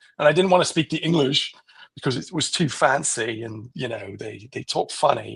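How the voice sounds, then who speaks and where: A man with an American accent talks at a moderate pace in a fairly high voice with vocal fry, lively intonation and big swings in loudness. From Switzerland. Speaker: vegan activist. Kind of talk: casual chat.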